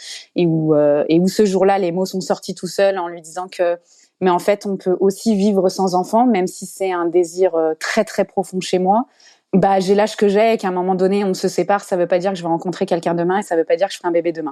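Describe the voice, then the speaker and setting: A woman speaks at a fairly quick pace with a medium pitch and a dark, mellow tone against a quiet background. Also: fairly even intonation. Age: 30s. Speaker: podcast guest. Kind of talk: personal testimony. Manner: halting.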